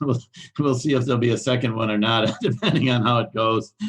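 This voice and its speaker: The intonation is fairly even. It comes from a man. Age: 60s. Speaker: recovery speaker. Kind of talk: testimony. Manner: halting, many fillers.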